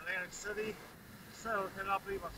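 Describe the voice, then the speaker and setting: A man speaks at a fairly quick pace with noticeable noise behind him. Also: dry sound with no echo. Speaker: beach vlogger. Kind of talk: casual vlog chat. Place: beach. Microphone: phone near.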